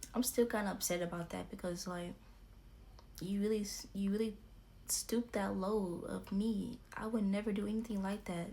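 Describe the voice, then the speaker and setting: A woman's medium-pitched, dark and mellow voice, somewhat breathy, with monotone, flat intonation at a moderate pace. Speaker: YouTuber. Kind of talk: storytime vlog.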